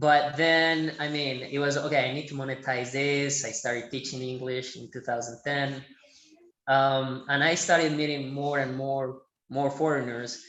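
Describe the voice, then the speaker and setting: With a Colombian paisa accent, a man speaks in a fairly high pitch and a monotone, flat intonation. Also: moderate pace. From Medellin, Colombia. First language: Spanish. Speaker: Spanish teacher. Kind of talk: podcast interview answer.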